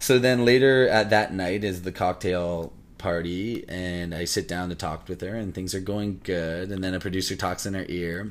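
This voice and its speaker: A man with a Canadian accent and a very deep, low pitch talks at a moderate pace with fairly even intonation and hardly any pauses. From Canada, Windsor, Ontario. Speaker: actor. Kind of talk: casual interview.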